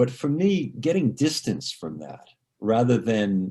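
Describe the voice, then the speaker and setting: A man's dark, mellow tone at a fairly slow pace. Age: 60s. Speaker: biographer. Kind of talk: panel discussion. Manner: halting, many repetitions and fillers.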